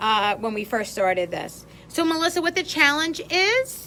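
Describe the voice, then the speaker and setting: A woman's raised, projected voice with a New York accent, a bright, sharp tone and lively intonation. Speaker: craft instructor. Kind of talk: live stream craft tutorial. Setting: live video stream. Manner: chatty, greeting viewers.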